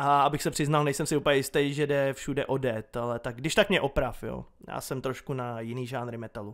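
Speaking at a fairly quick pace with hardly any pauses, a man uses a medium pitch and fairly even intonation in an unremarkable speaking voice. The recording is very clean, with a silent background. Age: 20s. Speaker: YouTuber. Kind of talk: casual Q&A monologue.

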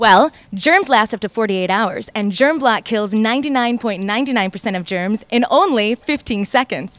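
A woman with a fairly high voice speaks at a moderate pace with hardly any pauses. It is a normal speaking voice with lively intonation. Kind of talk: infomercial presenter read.

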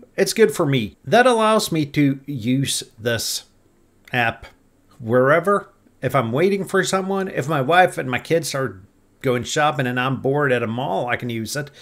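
Against a quiet background, the voice moves at a moderate pace. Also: man, lively intonation. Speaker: ham radio hobbyist. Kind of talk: casual vlog chat. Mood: wry about app cost.

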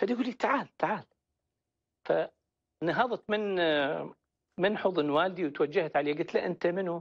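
Over a quiet background, a man with an Iraqi accent talks in a high pitch with ordinary pitch variation. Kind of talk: testimony. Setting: phone call. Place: studio.

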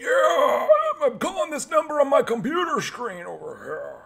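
In a put-on character voice, a man pushes his pitch extremely high. His speed is moderate. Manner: hesitant, rambling.

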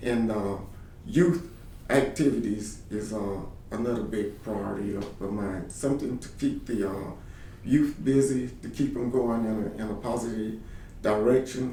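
In a room with audible echo, a man speaks at a moderate pace and medium pitch, his dark, mellow tone somewhat breathy, with ordinary pitch variation. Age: 50s. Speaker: political candidate. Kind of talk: candidate interview answers. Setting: office. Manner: halting, many repeated words.

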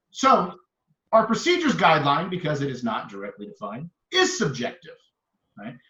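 An animated man speaks at a fairly quick pace, with big swings in loudness and long, frequent pauses. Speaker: mayor. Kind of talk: heated debate.

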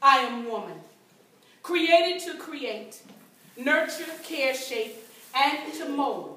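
In an American accent, a woman uses a raised, projected voice at a high pitch and a fairly slow pace. Audible room echo is present. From US South, North Carolina. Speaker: performance poet. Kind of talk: spoken-word poem performed to a live audience, rhythmic and rhymed. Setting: event stage with audience. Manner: proud, declamatory, emphatic. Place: hall. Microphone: camera far.

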